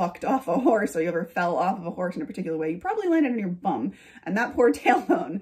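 A somewhat breathy woman against a quiet background. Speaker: lifestyle YouTuber and author. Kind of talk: casual vlog monologue. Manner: chatty, laughing. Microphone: phone near.

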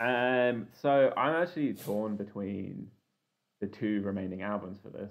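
Fairly low in pitch, this man has an ordinary speaking voice, lively intonation and big swings in loudness at a fairly slow pace. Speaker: podcast co-host. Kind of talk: casual chat.

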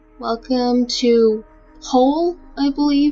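Over music in the background, a woman with a fairly high pitch talks with ordinary pitch variation. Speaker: let's play gamer. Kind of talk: casual gameplay commentary.

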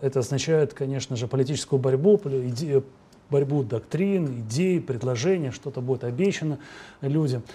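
A man's fairly high, somewhat breathy voice with a dark, mellow tone and ordinary pitch variation. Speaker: TV host. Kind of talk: TV interview. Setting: studio. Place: studio. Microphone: lapel.

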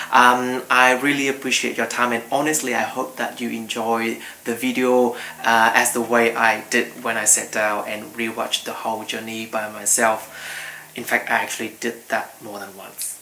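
Over light background noise, a man speaks at a moderate pace in a monotone, flat intonation. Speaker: travel vlogger. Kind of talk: casual vlog chat. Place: home room.

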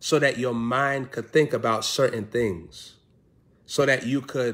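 A man's very slow speech with ordinary pitch variation over a quiet background. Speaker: preacher. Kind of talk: sermon. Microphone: phone near.

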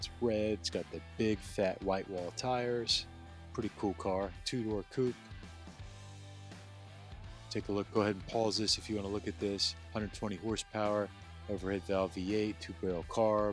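With faint music in the background, a man of fairly low pitch speaks at a moderate pace with fairly even intonation and long, frequent pauses, in a dry sound with no echo. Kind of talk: casual walk-through commentary. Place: hall. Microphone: phone near.

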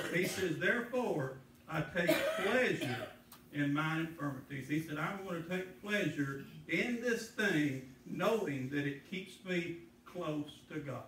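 Lively intonation comes at a fairly slow pace, with audible room echo and light background noise. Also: man, fairly high pitch for a man. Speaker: preacher. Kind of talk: sermon. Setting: church. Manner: earnest, pleading, pausing to stress points. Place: church. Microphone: camera far.

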